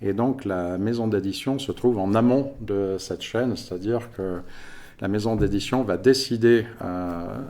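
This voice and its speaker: Low-pitched and dark, mellow in tone, a man talks at a fairly slow pace with ordinary pitch variation. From France (Paris region). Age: 50s. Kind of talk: podcast interview.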